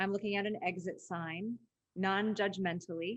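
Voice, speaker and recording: Moderate pacing from a woman. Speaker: leadership institute CEO and webinar host. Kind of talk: webinar teaching. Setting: webinar video call. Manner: high energy, voice rises when excited.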